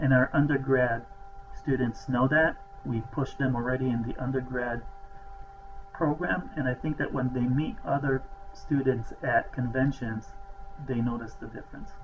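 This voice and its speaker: With a non-native accent, a man speaks at a moderate pace with long, frequent pauses over noticeable background noise. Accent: foreign. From outside the US. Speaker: professor, program director. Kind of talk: welcome talk to students.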